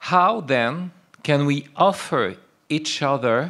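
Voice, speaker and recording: Speaking very slowly with a French accent, a man uses a fairly high pitch. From France. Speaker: philosopher and writer. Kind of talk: lecture. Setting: lecture hall with audience.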